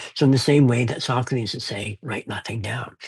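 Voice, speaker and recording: The speaker sounds somewhat breathy and moves at a fairly quick pace. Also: man. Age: 70s. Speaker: fantasy author. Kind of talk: interview. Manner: halting.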